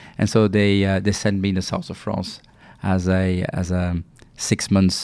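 With a French accent, the speaker has a dark, mellow tone, fairly even intonation and a moderate pace, on a very clean recording with a silent background. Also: man. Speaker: pharma executive. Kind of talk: interview. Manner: halting, many fillers.

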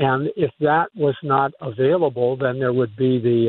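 A man at a moderate pace and medium pitch, an unremarkable speaking voice. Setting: phone call.

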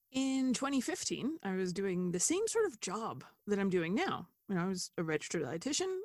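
A woman with an unremarkable speaking voice talks at a moderate pace and medium pitch, her intonation lively and the sound dry and close with no echo. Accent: American. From United States. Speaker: dietitian. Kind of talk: interview conversation.

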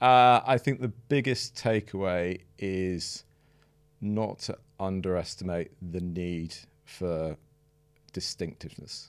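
On a very clean recording with a silent background, a man with a very deep, low pitch speaks very slowly, with ordinary pitch variation and long, frequent pauses. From northern England (Sheffield, Manchester). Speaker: marketing professional. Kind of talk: casual chat.

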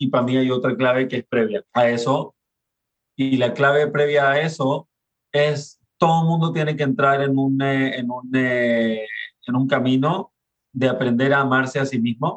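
This man has an ordinary speaking voice at medium pitch. He talks at a fairly slow pace with fairly even intonation. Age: 40s. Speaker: father and parenting speaker. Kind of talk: casual interview.

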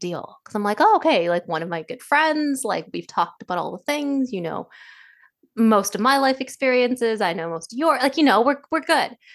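A woman's fairly high voice at a moderate pace, with very wide pitch swings, over a quiet background. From Indian diaspora, second-generation immigrant. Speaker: podcast co-host. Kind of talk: casual chat. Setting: video call.

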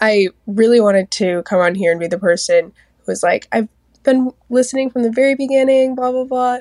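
A woman speaks at a fairly quick pace in a high voice, with ordinary pitch variation. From Seattle, US. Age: 20s. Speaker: podcast listener leaving voicemail. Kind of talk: voicemail testimony.

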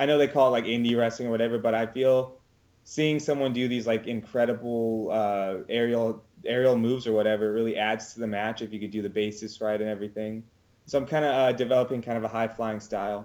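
Speaking very fast with a West Coast US accent, a man keeps his medium-pitched voice in fairly even intonation. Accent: General American (West Coast). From US West Coast (California, Oregon). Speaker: professional wrestler. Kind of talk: casual interview.

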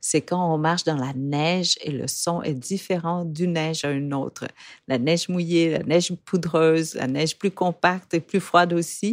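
A woman with an ordinary speaking voice and fairly low pitch talks at a fairly slow pace with fairly even intonation, the sound dry and close with no echo on a very clean recording with a silent background. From Vietnam. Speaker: podcast host. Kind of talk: scripted narration. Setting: studio.

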